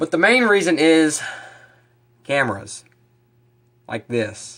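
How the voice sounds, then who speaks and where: A man speaks at a very slow pace, his fairly high voice making very wide pitch swings. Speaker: fishing vlogger. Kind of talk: casual vlog talk to camera. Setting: outdoors, then in his kitchen. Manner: animated.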